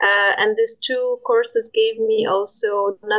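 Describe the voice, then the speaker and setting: Monotone, flat intonation over noticeable background noise. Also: woman. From Poland. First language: Polish. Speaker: nuclear industry communications manager. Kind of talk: interview. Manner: halting.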